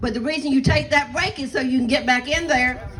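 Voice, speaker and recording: Over noticeable background noise, a woman with a Southern US accent and a high pitch speaks fairly quickly in an animated tone with ordinary pitch variation. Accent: Southern US (Georgia). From US South, southeast Georgia. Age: 60s. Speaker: pastor. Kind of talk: rally speech. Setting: outdoor rally with crowd.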